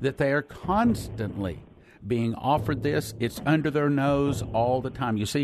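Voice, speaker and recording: A man talks at a moderate pace in a plain, everyday voice, pitched fairly high, with ordinary pitch variation. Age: 60s. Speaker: preacher. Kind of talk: sermon.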